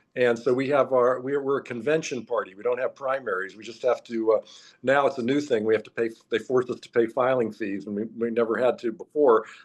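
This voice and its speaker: With an ordinary speaking voice, a man speaks at a fairly quick pace in a medium pitch with fairly even intonation. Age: 60s. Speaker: political candidate. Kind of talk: interview.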